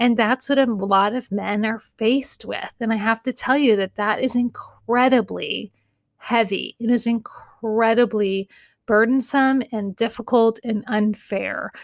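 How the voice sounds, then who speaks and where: A woman's fairly high, monotone voice with flat intonation at a fairly slow pace, dry and close with no echo, on a very clean recording with a silent background. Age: 40s. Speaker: therapist and podcast host. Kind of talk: casual advice monologue.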